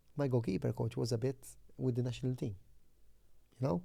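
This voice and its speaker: This man's dark, mellow tone is somewhat breathy, and his intonation is lively. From Malta, Floriana. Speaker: former football goalkeeper. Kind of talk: interview. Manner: halting.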